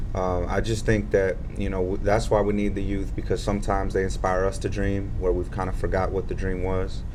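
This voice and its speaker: A man talks at a fairly quick clip with hardly any pauses, his voice carrying audible room echo. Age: 20s. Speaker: youth organizer. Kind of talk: panel discussion.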